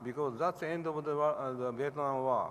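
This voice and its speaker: A man speaks with a Japanese accent. His pitch sits fairly high. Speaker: hepatologist. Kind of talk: award acceptance speech. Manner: halting.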